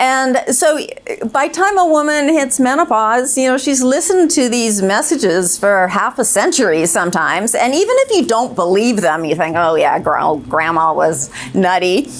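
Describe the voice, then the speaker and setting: A woman speaks at a moderate pace and very even loudness, her high voice swinging very widely in pitch. Noticeable background noise and audible room echo are present. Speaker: clinical psychologist. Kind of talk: panel discussion. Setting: stage with audience.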